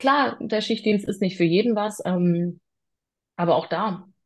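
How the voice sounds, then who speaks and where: At a moderate pace, a woman speaks with vocal fry and ordinary pitch variation. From southwestern Germany (Freiburg im Breisgau). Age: 30s. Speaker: private security professional. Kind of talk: interview.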